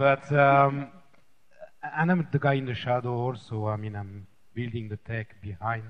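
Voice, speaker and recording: A man speaks with a French accent. He leaves long, frequent pauses, and background noise is noticeable. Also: medium pitch for a man, ordinary pitch variation, moderate pace. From France. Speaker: tech developer. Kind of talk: panel discussion. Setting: stage with audience. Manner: halting.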